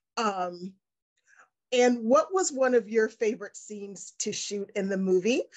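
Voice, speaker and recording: Over a quiet background, a woman with an American accent speaks at a fairly slow pace in an animated tone with ordinary pitch variation. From United States. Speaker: entertainment interviewer. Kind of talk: interview. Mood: warm, enthusiastic. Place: home room. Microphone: video call.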